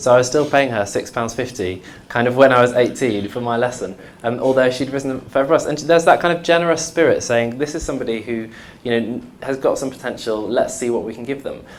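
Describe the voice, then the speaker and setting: Noticeable background noise sits under a man talking at a very fast pace with medium pitch and ordinary pitch variation. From Coventry, England. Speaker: music education panelist. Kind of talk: panel debate.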